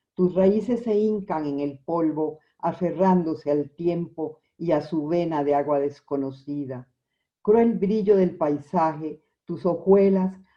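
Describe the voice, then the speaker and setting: A woman's voice, fairly low in pitch with a dark, mellow tone, ordinary pitch variation and a very slow pace. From Costa Rica. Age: 70s. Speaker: poet. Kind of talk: interview; poetry reading.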